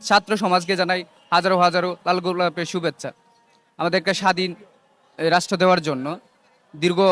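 The speaker is a man. His pitch is high. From Bangladesh, Netrokona district. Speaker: student political activist. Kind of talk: statement to news camera.

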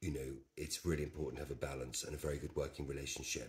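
A man with a very deep, low pitch and vocal fry talks at a fairly quick pace. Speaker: interviewee. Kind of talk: interview answer. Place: home room. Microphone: camera far.

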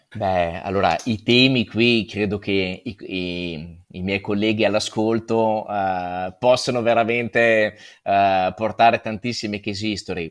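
An ordinary speaking voice from a man, fairly slow and fairly even in intonation, against a quiet background. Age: 40s. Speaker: real estate agent; guest. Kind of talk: conference talk.

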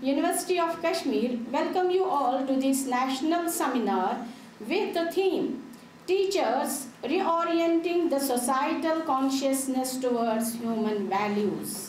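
Over light background noise and audible room echo, a woman speaks at a high pitch and a fairly slow pace with lively intonation. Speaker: guest. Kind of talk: formal welcome address. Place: hall. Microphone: podium.

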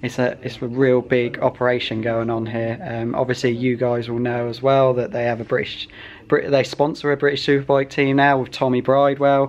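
A man talks in a monotone, flat intonation, with light background noise behind him. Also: moderate pace. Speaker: motorbike vlogger. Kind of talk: casual vlog chat. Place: shop. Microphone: phone near.

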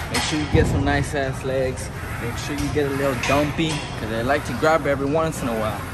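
Clear music sits in the background. Over it, a man talks at a moderate pace. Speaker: gym vlogger. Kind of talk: casual vlog chat. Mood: joking, playful. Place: gym. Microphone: phone near.

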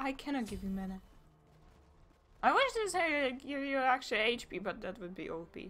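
A woman's high-pitched voice at a moderate pace, with very wide pitch swings, big swings in loudness and long, frequent pauses, over noticeable background noise. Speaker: gaming commentator. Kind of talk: casual gameplay commentary.

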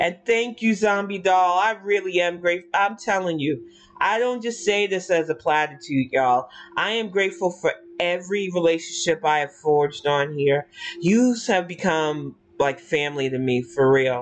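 Speech moves at a moderate pace. Pitch shifts in an ordinary way.

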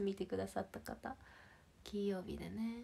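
A woman talks in a cheerful, animated tone over a quiet background. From Shizuoka, Japan; Japan. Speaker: idol livestreamer. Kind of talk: casual livestream chat with viewers. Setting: online livestream. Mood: cheerful, friendly. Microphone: phone near.

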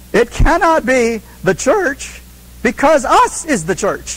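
Over noticeable background noise, a man with an extremely high pitch speaks at a fairly slow pace. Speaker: Bible teacher. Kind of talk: Bible study lecture.

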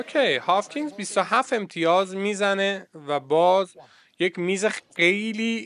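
A man's high voice, fairly slow, with ordinary pitch variation and very even loudness, over a quiet background. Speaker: snooker commentator and coach. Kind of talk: live commentary over match video. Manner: animated.

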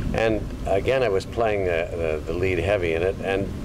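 Noticeable background noise behind a man's very deep, low voice, delivered at moderate speed. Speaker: actor recalling his career. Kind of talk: interview answer. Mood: reminiscent, amused. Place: garden.

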